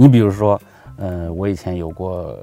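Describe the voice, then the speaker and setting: A man's very deep, low voice, dark and mellow in tone, comes through a very clean recording with a silent background. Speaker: history researcher and narrator. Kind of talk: interview conversation. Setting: studio, in person. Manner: relaxed; talkative.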